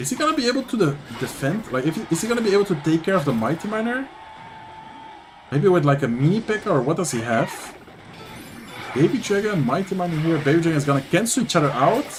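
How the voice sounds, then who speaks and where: With a Dutch accent, a man speaks very fast in a high pitch, with very wide pitch swings and long, frequent pauses, over noticeable background noise. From Netherlands. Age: 20s. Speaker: gaming streamer and commentator. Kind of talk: live commentary. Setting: livestream. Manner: casual, animated.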